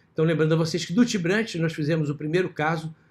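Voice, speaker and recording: A man's somewhat breathy voice at a fairly high pitch. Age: 60s. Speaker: vascular surgeon lecturing; surgeon lecturer. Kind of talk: lecture. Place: home room. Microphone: video call.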